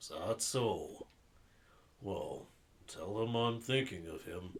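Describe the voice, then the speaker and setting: Using a put-on character voice, a man speaks at a medium pitch and a very slow pace. His voice is raspy, with big swings in loudness. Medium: game stream. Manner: hesitant, melancholy.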